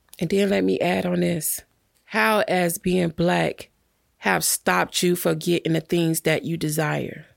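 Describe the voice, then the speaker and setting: A woman with an American accent speaks at a fairly slow pace with very even loudness. The sound is dry and close, with no echo. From Miami, Florida (Carol City). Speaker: acting coach and casting director. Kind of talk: casual interview chat. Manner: animated.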